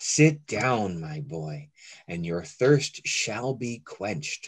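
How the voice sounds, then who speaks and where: In a rumbling, put-on character voice, a man speaks at a very slow pace and a fairly low pitch, with very wide pitch swings and big swings in loudness. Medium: read story.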